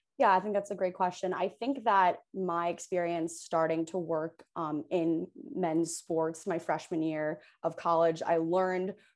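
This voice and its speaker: A woman's normal speaking voice, fairly low in pitch, with fairly even intonation, against a quiet background. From Hoboken, New Jersey. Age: 20s. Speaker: law student and sports agent. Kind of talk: interview.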